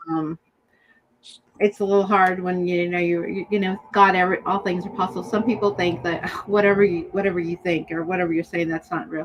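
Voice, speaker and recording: A woman speaks in a plain, everyday voice at medium pitch. Her intonation is fairly even and her pace fairly quick. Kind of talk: podcast discussion on forgiveness.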